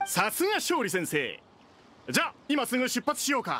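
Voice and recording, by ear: In a cartoonish character voice, a man speaks at a moderate pace with an extremely high pitch, a bright, sharp tone and very wide pitch swings.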